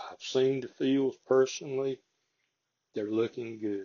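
With a strong Southern US accent, a man of medium pitch speaks at a fairly slow pace with ordinary pitch variation. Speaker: local farming podcast host. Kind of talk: casual chat; reading aloud. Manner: folksy, conversational.

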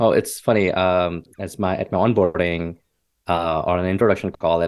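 A man speaks with a very deep, low pitch. His intonation stays flat and monotone. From India. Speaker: engineering leader. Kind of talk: interview. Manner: halting, many fillers.

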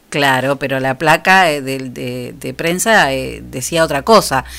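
A woman with a Rioplatense accent. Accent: Argentine Rioplatense Spanish. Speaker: radio host. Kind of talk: radio show, casual chat and announcements.

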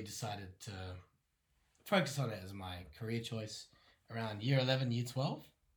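A man's somewhat breathy, medium-pitched voice with ordinary pitch variation. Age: young. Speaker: opera répétiteur (vocal coach pianist). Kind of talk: interview. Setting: in person, same room as host.

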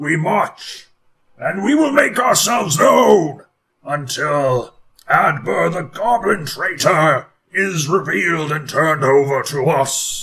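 Shouting in a put-on character voice, a man sounds raspy, pitched fairly high, and moves at a fairly slow pace. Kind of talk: war-cry proclamation. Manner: shouting, menacing.

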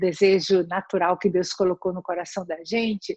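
A somewhat breathy woman's voice. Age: 60s. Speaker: palliative care nurse. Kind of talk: interview.

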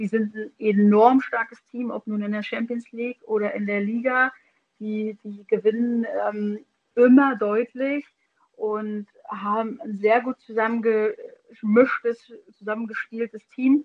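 A woman speaks very slowly in a fairly high, monotone voice. Her loudness swings widely. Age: 30s. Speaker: podcast co-host, former women's football player. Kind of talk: casual chat. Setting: remote call.

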